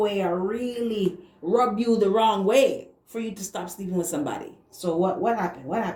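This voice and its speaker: Noticeable background noise runs behind a woman's voice. She speaks at a moderate pace. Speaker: tarot reader. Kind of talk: tarot reading.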